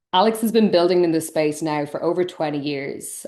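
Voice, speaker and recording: Against a quiet background, a woman talks at a moderate pace in a very deep, low pitch with ordinary pitch variation. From Ireland. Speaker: tech company host. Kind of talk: webinar presentation.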